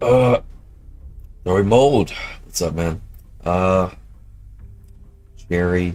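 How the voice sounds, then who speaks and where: A man's very deep, low voice at a very slow pace, with long, frequent pauses, ordinary pitch variation and music in the background. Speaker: game developer streamer. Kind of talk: live stream chat. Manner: casual, filler-heavy.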